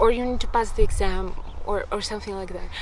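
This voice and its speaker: A woman with a Russian accent talks at a moderate pace. There is audible room echo and noticeable background noise. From Russia, Republic of Bashkortostan. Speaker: language learning vlogger. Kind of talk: casual talk to camera. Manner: halting, many fillers.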